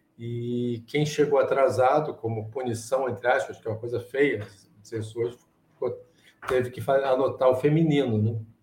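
A man's somewhat breathy, medium-pitched voice moves at a moderate pace with fairly even intonation. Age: 60s. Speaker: chess problem solver. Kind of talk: interview. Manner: halting.

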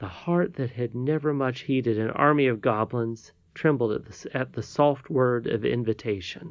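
The voice reads naturally. Its pitch moves in an ordinary way.

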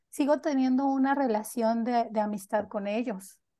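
Over a quiet background, a woman with a dark, mellow tone talks at a fairly slow pace with fairly even intonation. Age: 30s. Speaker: nanny. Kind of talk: casual chat.

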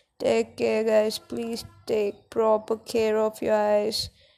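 Music in the background behind a woman's very slow delivery. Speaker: podcaster. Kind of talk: casual monologue. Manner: soft-spoken; halting.

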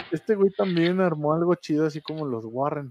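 Dry and close with no echo, a man's dark, mellow voice sits at a fairly high pitch and moves at a moderate pace. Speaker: online radio show co-host. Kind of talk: storytelling; casual chat. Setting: studio.

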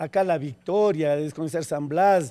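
A man speaks at a fairly slow pace in a dark, mellow tone, on a very clean recording with a silent background. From Ecuador, Quito. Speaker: neighborhood leader. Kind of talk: street interview.

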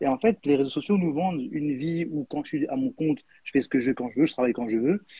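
A man talks at a very fast pace with hardly any pauses, his fairly high, somewhat breathy voice dark and mellow in tone, his intonation lively, in a dry, close sound with no echo. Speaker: live stream host. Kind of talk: live podcast interview. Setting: online live stream. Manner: hesitant, repeats words.

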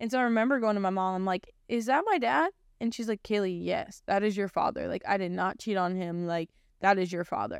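A woman speaks in an ordinary speaking voice at a medium pitch with ordinary pitch variation, recorded very cleanly against a silent background. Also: fairly quick pace. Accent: American. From Ohio, US Midwest. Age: 20s. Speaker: podcast host, church staff member. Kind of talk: personal testimony. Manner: casual, filler-heavy speech.

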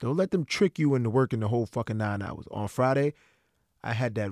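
A normal speaking voice from a man at medium pitch with ordinary pitch variation, recorded very cleanly against a silent background. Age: 30s. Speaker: podcast host. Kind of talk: casual monologue.

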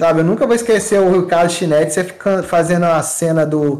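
Here a man with a fairly high pitch talks at a fairly quick pace in a plain, everyday voice. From Brazil, Minas Gerais (Muriaé). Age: 30s. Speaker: event organizer and photographer. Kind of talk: casual chat.

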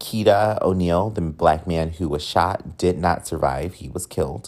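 A man with an American accent speaks in a very deep, low voice with vocal fry, an animated tone and ordinary pitch variation. He keeps a moderate pace in a very clean recording with a silent background. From US military bases. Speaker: podcast host. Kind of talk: casual chat. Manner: animated, casual, profane.

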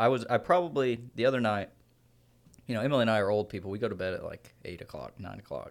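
A man talks at a very fast pace, with big swings in loudness and ordinary pitch variation. The recording is very clean, with a silent background. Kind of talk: casual chat.

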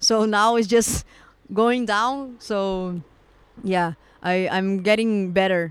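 Speech comes at a very slow pace with long, frequent pauses, on a very clean recording with a silent background. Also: woman, medium pitch for a woman, ordinary pitch variation. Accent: Portuguese. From Brazil. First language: Portuguese. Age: 20s. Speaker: tattoo artist. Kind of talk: casual interview. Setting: outdoors on a park bench. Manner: halting.

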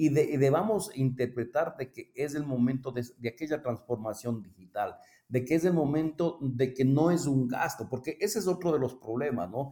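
With hardly any pauses, a man with a fairly high pitch and a dark, mellow tone speaks with ordinary pitch variation. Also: moderate pace. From Ecuador. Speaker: cooperative finance executive. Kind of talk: interview. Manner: halting.

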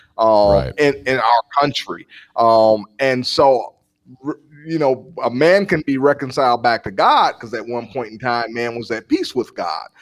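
In a normal speaking voice, a man with an American accent talks at medium pitch and a fairly slow pace with ordinary pitch variation, in dry, close sound with no echo. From Milwaukee, Wisconsin. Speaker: pastor and ministry founder. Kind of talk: interview conversation.

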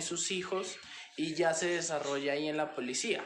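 Audible room echo and noticeable background noise surround a man with a fairly high pitch. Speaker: student interviewer. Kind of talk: family interview for a class assignment.

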